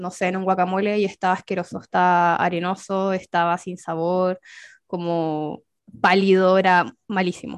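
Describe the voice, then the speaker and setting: Against a quiet background, a woman with a Chilean accent talks at a moderate pace. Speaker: podcast co-host, gardening expert. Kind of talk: casual chat.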